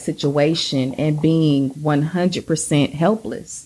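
In a very clean recording with a silent background, a woman with a Southern US accent speaks at a very deep, low pitch. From US South, Georgia. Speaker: podcast co-host. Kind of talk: casual chat.

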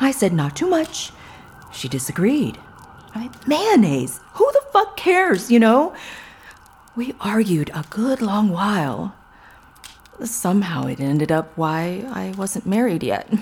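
Doing a put-on character voice, a woman speaks slowly at a medium pitch, her tone slightly mellow with a slightly husky edge and big pitch swings.

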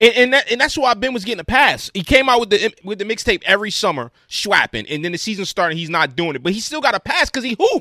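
An animated man with a high, raised and projected voice talks at a very fast pace with hardly any pauses and very wide pitch swings, in a dry, close sound with no echo. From Philadelphia. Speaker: sports podcast co-host. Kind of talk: heated casual rant.

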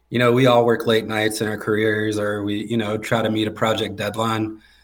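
Speaking at a moderate pace, a man with an American accent keeps a monotone, flat intonation. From North Carolina, near Raleigh. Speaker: flooring business owner, army veteran. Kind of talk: casual interview.

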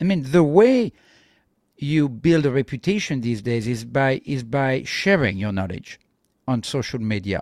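With a French accent, a man speaks at a fairly slow pace in a medium pitch with lively intonation. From France. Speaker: tech entrepreneur. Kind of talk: interview. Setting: remote call.

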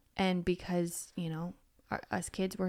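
Speaking with a normal speaking voice at a fairly low pitch, a woman keeps a moderate pace in a very clean recording with a silent background. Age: 30s. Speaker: podcast host. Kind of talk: casual chat.

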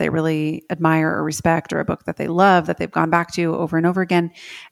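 Speaking at a fairly quick pace, a woman has a fairly low pitch and an unremarkable speaking voice. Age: 30s. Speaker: podcast host and writing coach. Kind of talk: interview.

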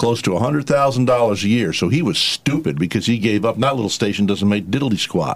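A man talks in a normal speaking voice at a medium pitch. His pace is fairly slow and his intonation lively. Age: 60s. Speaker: radio host. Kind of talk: casual chat.

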